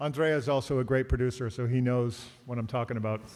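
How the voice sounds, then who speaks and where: A man at medium pitch, talking at a fairly quick clip with fairly even intonation. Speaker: bassist. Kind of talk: live Q&A. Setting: stage with audience. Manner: casual.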